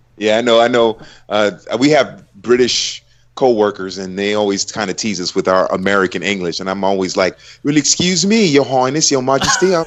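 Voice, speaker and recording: Speaking at a fairly quick pace, a man with a medium pitch and lively intonation has an unremarkable speaking voice. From United States. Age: 30s. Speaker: football commentator. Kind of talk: casual chat.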